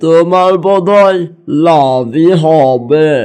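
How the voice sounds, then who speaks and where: A man puts on a cartoonish character voice, pitched high. He goes at a very slow pace with ordinary pitch variation. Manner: rustic, chatty.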